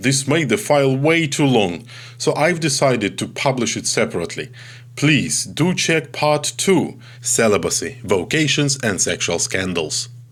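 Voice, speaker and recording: A man with a Ukrainian accent speaks at a moderate pace with lively intonation and vocal fry. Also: medium pitch for a man. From Ukraine. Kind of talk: recorded talk on theology. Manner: halting, with filler sounds.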